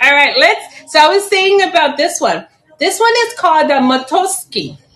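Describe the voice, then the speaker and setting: Lively intonation at a moderate pace, with very even loudness. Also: woman, extremely high pitch for a woman. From Chicago, raised by Puerto Rican family; later Puerto Rico. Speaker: plant seller and teacher. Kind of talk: live-stream sales auction. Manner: casual, chatty.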